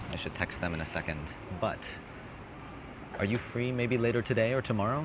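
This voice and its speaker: A man speaks in a somewhat breathy voice. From Hawaii. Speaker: dating coaching student. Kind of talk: street conversation, approaching a stranger. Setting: outdoors in a city square.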